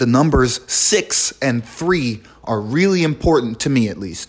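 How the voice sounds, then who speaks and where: A man with a fairly high pitch talks at a fairly slow pace, his voice making very wide pitch swings. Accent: New York. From New York City, the Bronx. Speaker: podcast host, card game player. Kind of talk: solo podcast monologue.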